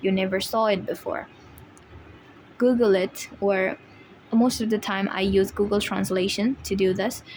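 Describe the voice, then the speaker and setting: Noticeable background noise sits behind a woman with a non-native accent. Her medium-pitched voice has monotone, flat intonation. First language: not English. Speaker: IELTS tutor, video creator. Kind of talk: tutorial. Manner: hesitant with fillers.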